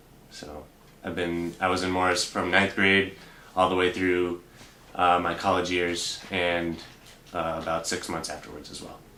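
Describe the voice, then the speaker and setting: This man's very deep, low voice has a bright, sharp tone and a monotone, flat intonation, and he speaks at a moderate pace with long, frequent pauses, big swings in loudness and audible room echo. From Boston, US. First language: Russian. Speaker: bank teller. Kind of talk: interview. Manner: halting.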